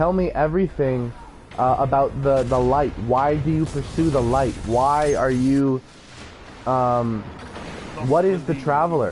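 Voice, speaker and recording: A man with a fairly high pitch, a fairly slow pace, long, frequent pauses, very even loudness and fairly even intonation, set against noticeable background noise. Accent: American. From California. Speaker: gaming streamer. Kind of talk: live gameplay stream talk. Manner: halting, many fillers.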